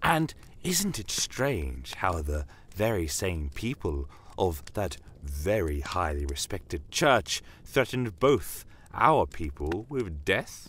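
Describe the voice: A man puts on a character voice with a low pitch and a fairly bright tone. He speaks slowly, with big pitch swings.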